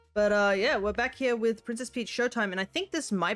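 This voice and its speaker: A woman speaks at a fairly quick pace with ordinary pitch variation. Music plays behind her. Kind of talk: live stream gameplay commentary. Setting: live stream.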